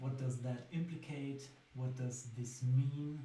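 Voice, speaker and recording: Very slowly and in a monotone, flat intonation, a man with a German accent speaks in a dark, mellow, somewhat breathy tone amid audible room echo. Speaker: singer-songwriter. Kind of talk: casual talk about own songwriting. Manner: hesitant with fillers.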